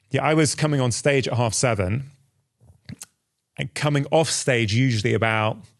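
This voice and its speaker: Speaking with a British accent, a man keeps a medium pitch and ordinary pitch variation. His pace is moderate, broken by long, frequent pauses. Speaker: doctor and podcast host. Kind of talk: interview conversation.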